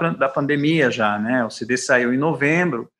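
With a bright, sharp tone and lively intonation, a man talks at a fairly slow pace against a quiet background. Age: 50s. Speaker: bassist and composer. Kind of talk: radio interview.

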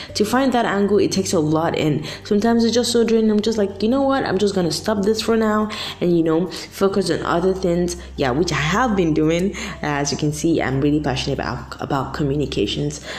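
A woman with a medium pitch speaks at a fairly quick pace with lively intonation. Noticeable background noise and audible room echo are present. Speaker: podcast host. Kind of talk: solo motivational talk. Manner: casual, filler-heavy.

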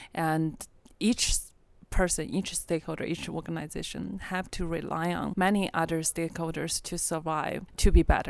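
A woman's fairly low voice with vocal fry and a Chinese accent, fairly even intonation and a moderate pace, on a very clean recording with a silent background. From China. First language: Mandarin Chinese. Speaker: podcast co-host, conference organizer. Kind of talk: casual chat. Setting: conference venue.

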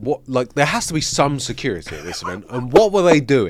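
This man's voice sits fairly high and shows vocal fry. His pitch swings very widely. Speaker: gaming podcast co-host. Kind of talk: casual chat.

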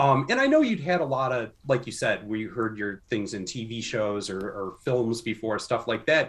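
A somewhat breathy man's voice at medium pitch, with ordinary pitch variation, a moderate pace and hardly any pauses. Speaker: podcast host. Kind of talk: interview.

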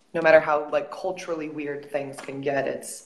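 A woman with an American accent speaks at a very deep, low pitch in a monotone, flat intonation. Noticeable background noise runs underneath. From United States. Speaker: professional volleyball player. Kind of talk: casual interview.

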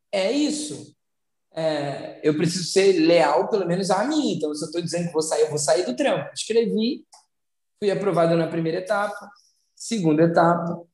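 A man with a Carioca accent speaks at a moderate pace in a high voice with lively intonation. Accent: carioca Brazilian Portuguese. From Brazil, São Gonçalo, Rio de Janeiro. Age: 30s. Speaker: social entrepreneur. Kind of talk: interview. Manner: halting, with repetitions.

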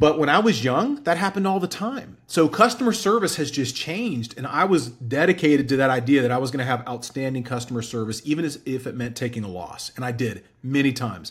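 The voice is somewhat breathy and very fast, with hardly any pauses. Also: man, fairly high pitch for a man, lively intonation. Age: 40s. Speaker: entrepreneur. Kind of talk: interview.

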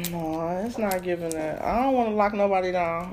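There is audible room echo and noticeable background noise as a woman speaks fairly quickly. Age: 30s. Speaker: podcast host. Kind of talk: casual chat. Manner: animated.

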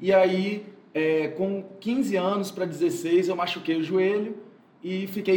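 A high-pitched man speaks at a fairly slow pace, with noticeable background noise and audible room echo. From Espírito Santo, Brazil (Muqui). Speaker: physical education teacher. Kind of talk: casual interview.

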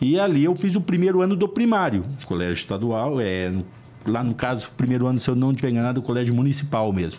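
Very fast speech from a man at medium pitch, with very wide pitch swings, very even loudness and noticeable background noise. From Brazil, northern Paraná. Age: 50s. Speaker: lawyer. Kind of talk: interview.

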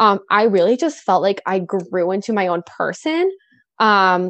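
With a dry, close sound and no echo, a woman speaks in an American accent. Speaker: event and wedding planner. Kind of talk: casual interview chat.

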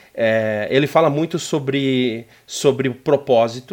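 A man's plain, everyday voice, medium in pitch with ordinary pitch variation, in a very clean recording with a silent background. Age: 30s. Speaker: business executive. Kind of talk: interview. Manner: casual.

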